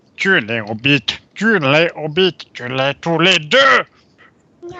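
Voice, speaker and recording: Using a put-on character voice, a man speaks very slowly in a raspy, hissing tone at a fairly high pitch. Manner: creepy, creature-like.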